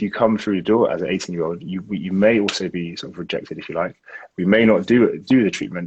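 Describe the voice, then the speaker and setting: Here a man talks very fast with a London accent. His pitch is fairly low, with ordinary variation. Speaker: aesthetic doctor. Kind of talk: interview answer.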